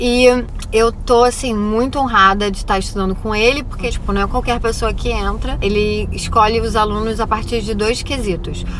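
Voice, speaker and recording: Over noticeable background noise and audible room echo, a woman talks at a moderate pace in a fairly high voice with monotone, flat intonation. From Brazil. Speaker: vlogger and acting student. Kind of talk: casual vlog. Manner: casual, hesitant with false starts.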